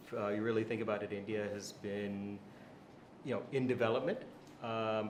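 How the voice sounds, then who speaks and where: In a fairly low-pitched voice and an American accent, a man talks at a moderate pace with monotone, flat intonation and long, frequent pauses, amid audible room echo and noticeable background noise. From USA. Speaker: venture capital investor. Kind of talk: interview.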